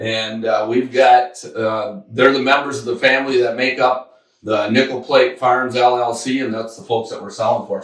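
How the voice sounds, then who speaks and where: An unremarkable speaking voice at a moderate pace. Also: man. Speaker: auctioneer. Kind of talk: interview questions.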